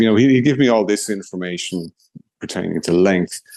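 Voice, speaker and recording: Speaking fairly quickly, a man talks with an Irish accent. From Ireland, Kilkenny. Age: 60s. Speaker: blind golfer. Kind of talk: interview.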